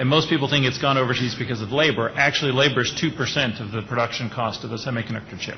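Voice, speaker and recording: This man speaks at a very fast pace, medium in pitch. His intonation is fairly even, with noticeable background noise behind him. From Austria. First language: German. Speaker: management consultant, panelist. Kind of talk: panel discussion.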